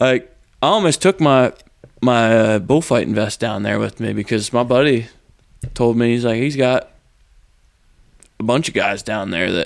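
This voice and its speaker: A man with an American accent talks at a moderate pace with ordinary pitch variation. He leaves long, frequent pauses. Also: medium pitch for a man. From Pennsylvania, outside eastern PA. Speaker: bullfighter. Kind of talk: casual chat. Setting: garage.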